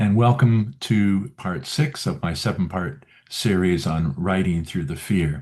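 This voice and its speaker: A man with a very deep, low pitch, a dark, mellow tone and lively intonation. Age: 70s. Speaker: memoir writing coach. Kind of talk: video talk series. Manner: halting, with fillers.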